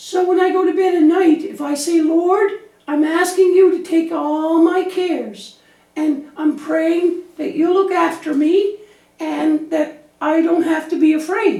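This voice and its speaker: A cartoonish character voice comes through at an extremely high pitch and a fairly slow pace. There is a slight echo. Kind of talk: children's church puppet show. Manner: worried, anxious.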